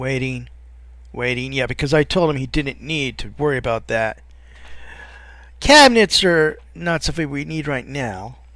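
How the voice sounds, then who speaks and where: This man has a bright, sharp tone and a fairly high pitch with ordinary pitch variation. He mumbles at a moderate pace, leaving long, frequent pauses. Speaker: let's play gamer. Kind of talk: gameplay commentary. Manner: mumbling; halting.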